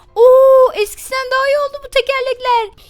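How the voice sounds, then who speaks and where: A woman is speaking. Her tone is animated. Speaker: gaming youtuber. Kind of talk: gameplay commentary.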